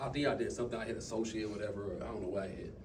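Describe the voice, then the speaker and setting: Talking at a very fast pace with lively intonation, a man is heard amid audible room echo. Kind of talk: motivational talk to a team. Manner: animated.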